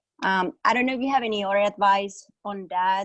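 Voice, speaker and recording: Delivered at a medium speed, the speech carries a Spanish accent. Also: woman. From Mexico. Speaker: webinar participant asking a question. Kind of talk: Q&A question. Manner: halting, many fillers.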